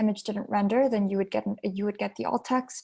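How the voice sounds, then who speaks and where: A woman with a fairly high, somewhat breathy voice talks at a fairly quick pace with fairly even intonation on a very clean recording with a silent background. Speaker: software trainer. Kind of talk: tutorial.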